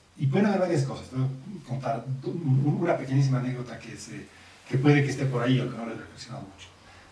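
Noticeable background noise sits under a man speaking at a very fast pace. His medium pitch varies in an ordinary way while his loudness swings widely. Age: 50s. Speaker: sociologist. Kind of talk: interview.

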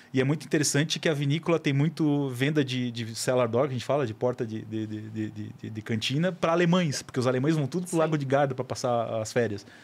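The recording is very clean, with a silent background. A man speaks very fast at a medium pitch with ordinary pitch variation and hardly any pauses. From Florianópolis, southern Brazil. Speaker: wine educator and podcaster. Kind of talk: casual chat. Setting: studio.

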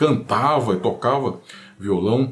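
A man speaks with a somewhat breathy voice. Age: 50s. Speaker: guitar YouTuber. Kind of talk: casual monologue.

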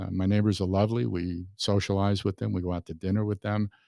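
A man's ordinary speaking voice, fairly low in pitch with fairly even intonation, dry and close with no echo, on a very clean recording with a silent background. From New York City, Brooklyn. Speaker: magazine publisher. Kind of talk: casual interview. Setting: studio.

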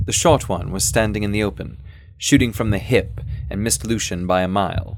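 The delivery is plain reading aloud. The intonation stays fairly even.

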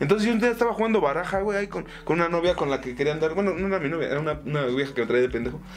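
A man's high-pitched, very fast speech with lively intonation over noticeable background noise. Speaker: comedy podcast co-host. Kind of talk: casual chat. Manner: animated.

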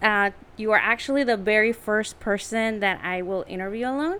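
Music in the background behind a woman's fairly high voice, moderately paced and with ordinary pitch variation. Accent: Mexican. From Tijuana, Mexico. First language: Spanish. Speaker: podcast co-host. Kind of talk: casual interview.

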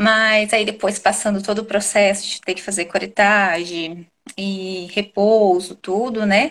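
Monotone, flat intonation carries a fairly slow pace. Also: woman, medium pitch for a woman. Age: 30s. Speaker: mother and restaurant owner. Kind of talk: testimony. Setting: live stream video call.

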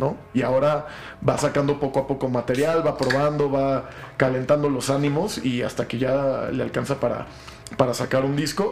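Against noticeable background noise, a man with a fairly high voice and a Mexican accent speaks at a moderate pace in a monotone, flat intonation. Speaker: podcast host. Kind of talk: casual chat.

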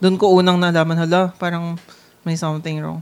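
A plain, everyday voice at a fairly quick pace. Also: woman. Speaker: podcast co-host. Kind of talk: casual chat.

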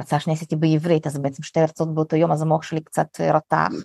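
Her pitch fairly low, a woman speaks at a very fast pace in a dry, close sound with no echo. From Russian-speaking country, immigrated to Israel as a child (1991). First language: Russian (speaking Hebrew). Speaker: content creator and community founder. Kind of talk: casual chat.

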